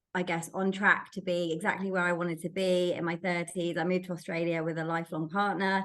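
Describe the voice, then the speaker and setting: Delivered at a fairly quick pace, this voice has an English accent and a monotone, flat intonation. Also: woman. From England. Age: 30s. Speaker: recruiter, sober podcast guest. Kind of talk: interview. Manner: hesitant, many fillers.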